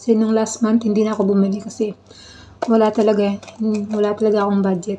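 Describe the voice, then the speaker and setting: A woman talking at a very fast pace, fairly high in pitch. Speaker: vlogger. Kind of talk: casual vlog. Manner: halting.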